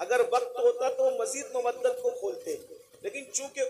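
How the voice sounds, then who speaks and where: A man speaks in a passionate tone, his pitch swinging very widely. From India. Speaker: Islamic preacher. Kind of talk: religious sermon at a public gathering. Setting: public gathering, recorded live. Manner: passionate, emotional, oratorical.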